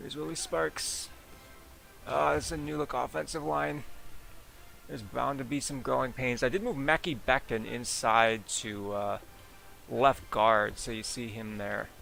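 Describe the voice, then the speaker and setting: A man at medium pitch speaks at a fairly slow pace, with long, frequent pauses, very wide pitch swings and big swings in loudness. Music plays in the background. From US Midwest. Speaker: gaming streamer. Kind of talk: live gameplay commentary. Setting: live stream.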